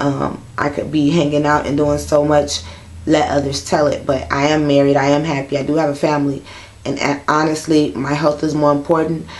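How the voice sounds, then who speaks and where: A woman with a very deep, low pitch talks at a fairly quick pace in a monotone, flat intonation, with audible room echo and noticeable background noise. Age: 30s. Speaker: vlogger with sickle cell disease. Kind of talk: personal vlog monologue. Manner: casual with frequent fillers.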